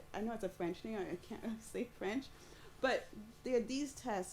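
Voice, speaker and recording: Her voice animated and touched with vocal fry, a woman speaks. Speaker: robotics researcher. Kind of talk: panel discussion.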